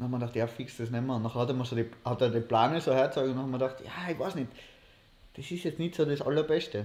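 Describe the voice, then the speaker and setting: A man talks very fast, his medium pitch moving with ordinary variation. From Austria, Innsbruck. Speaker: podcast co-host, university student. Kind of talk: casual chat. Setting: livestream.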